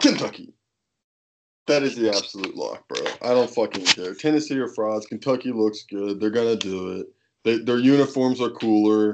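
A man's ordinary speaking voice, medium in pitch, at a moderate pace with fairly even intonation. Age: 20s. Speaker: sports podcast co-host. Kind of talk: casual chat.

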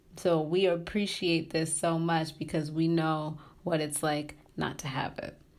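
A woman's very deep, low voice, monotone and flat, at a fairly slow pace with audible room echo. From Tanzania. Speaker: graduate student in social work. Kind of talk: interview.

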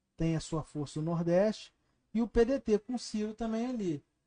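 Dark, mellow tone from a man at a fairly slow pace, dry and close with no echo. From Brazil, Barra Mansa (Rio de Janeiro state). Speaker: podcast host. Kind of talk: interview.

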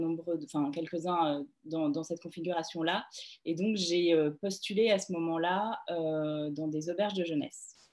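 At a fairly slow pace, a woman with fairly low pitch speaks in fairly even intonation. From France, Grenoble. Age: 30s. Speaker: travel agency founder. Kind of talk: interview. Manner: hesitant, many fillers and repetitions.

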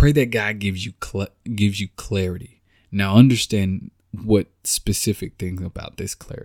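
With a dry, close sound and no echo, a man of fairly low pitch speaks in an American accent at a moderate pace, his tone animated and his loudness swinging widely. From Texas. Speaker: faith podcast host. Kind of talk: inspirational faith talk.

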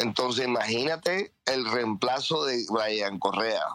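In a dry, close sound with no echo, a man talks at a medium pitch. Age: 50s. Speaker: football fan. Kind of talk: heated fan commentary. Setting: online audio space. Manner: animated.

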